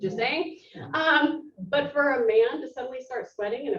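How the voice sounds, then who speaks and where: The voice belongs to a woman. It sits high in pitch. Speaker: self-defense educator. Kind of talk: workshop presentation. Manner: fast; animated.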